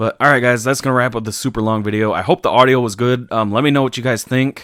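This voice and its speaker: Speaking fairly quickly with fairly even intonation, a man with a plain, everyday voice at medium pitch is heard on a very clean recording with a silent background. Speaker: vlogger. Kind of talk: casual vlog talk. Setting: home room being redone. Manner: casual, many fillers. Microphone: new dynamic broadcast mic with preamp, gain being adjusted; far from the mic, about a foot.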